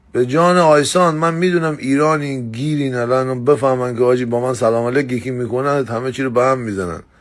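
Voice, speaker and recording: Speaking very fast with hardly any pauses, a man with a Mazandarani accent uses an animated tone at a medium pitch with ordinary pitch variation, in a very clean recording with a silent background. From Mazandaran, northern Iran. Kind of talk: casual monologue.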